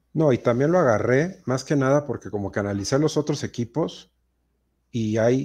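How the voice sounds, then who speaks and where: A dark, mellow tone with a Mexican accent and ordinary pitch variation, against a quiet background. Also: man. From Mexico. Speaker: fantasy football podcast host. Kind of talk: casual chat. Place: home room. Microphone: video call.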